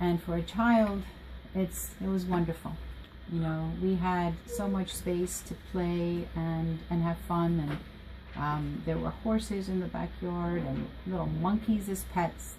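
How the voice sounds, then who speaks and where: Against noticeable background noise, a woman with an American accent speaks at a fairly slow pace. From Costa Rica until age 5, then Washington DC area. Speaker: school counselor. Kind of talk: interview.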